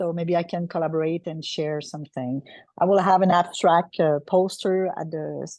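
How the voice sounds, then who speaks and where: A woman with a Quebec French accent speaks at a moderate pace in a monotone, flat delivery with fairly low pitch. The sound is dry and close with no echo, over a quiet background. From Quebec, Canada. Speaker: transplant clinical pharmacist. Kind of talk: self-introduction in online meeting. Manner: halting.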